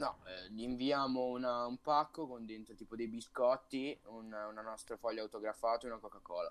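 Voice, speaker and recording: A man with a plain, everyday voice speaks at medium pitch with fairly even intonation. He has hardly any pauses, and his loudness swings widely. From Italy, Sarzana (Lunigiana, Liguria). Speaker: podcast co-host. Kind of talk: casual chat.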